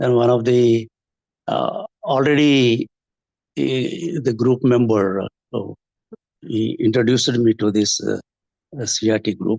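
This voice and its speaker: A man speaks at a fairly slow pace with long, frequent pauses and medium pitch. His pitch varies in an ordinary way, and the sound is dry and close with no echo. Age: 60s. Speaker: health group participant. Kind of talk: testimony. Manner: halting.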